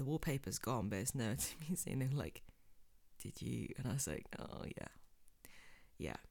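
With lively intonation and vocal fry, a woman with an English accent talks at a fairly slow pace in a very deep, low pitch. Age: 20s. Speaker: podcast host. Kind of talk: casual chat. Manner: animated.

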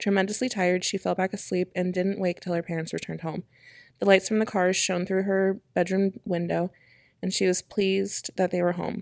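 On a very clean recording with a silent background and a dry, close sound with no echo, a woman speaks at a fairly quick pace in a shaky, medium-pitched monotone with flat intonation. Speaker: podcast co-host. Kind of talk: ghost story telling, read aloud from a script. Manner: voice shaky with fear, as she herself says.

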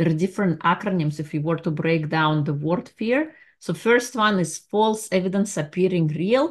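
Against a quiet background, a woman talks at a moderate pace in a fairly low pitch, with ordinary pitch variation and hardly any pauses. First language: not English. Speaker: life coach and podcast host. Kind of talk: solo motivational monologue; guided visualization.

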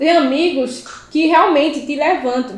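A woman's very slow speech amid audible room echo and noticeable background noise. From Pernambuco interior, Brazil. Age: 20s. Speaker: civil firefighter and first aid instructor. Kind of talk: casual interview chat.

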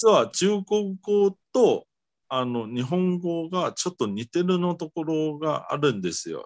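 Fairly slow with lively intonation, a man speaks at a high pitch in a Mandarin Chinese accent, in a dry, close sound with no echo. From Taiwan. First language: Mandarin Chinese (speaking Japanese). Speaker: guest from abroad. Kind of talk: casual interview chat. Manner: halting, many fillers.

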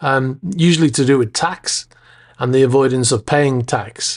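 A man with an American accent speaks at a fairly slow pace, his fairly high pitch showing ordinary variation. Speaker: podcast host. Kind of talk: casual solo podcast.

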